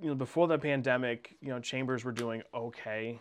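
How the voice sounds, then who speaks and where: In an American accent, a man with an ordinary speaking voice speaks at a medium pitch and a moderate pace, with ordinary pitch variation over a quiet background. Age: 30s. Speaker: chamber of commerce director, former sports broadcaster. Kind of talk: casual chat.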